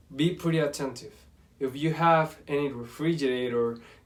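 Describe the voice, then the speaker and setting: This man has a Spanish accent, a fairly high pitch, and fairly even intonation. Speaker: university language student. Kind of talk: class presentation. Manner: halting.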